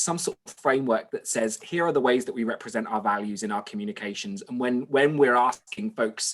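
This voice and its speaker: A man speaks with a British accent. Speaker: webinar co-host. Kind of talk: casual chat. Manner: halting.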